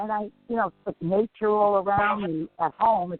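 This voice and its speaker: At a fairly slow pace, a woman speaks at a medium pitch in an unremarkable speaking voice. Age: 60s. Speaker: psychic medium. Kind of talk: radio interview and live psychic reading. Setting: radio show.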